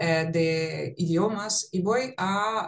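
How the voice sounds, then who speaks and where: A woman's fairly low voice with ordinary pitch variation, in a Russian accent. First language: Russian (speaking Spanish). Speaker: psychologist and language teacher. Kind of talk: conversational podcast.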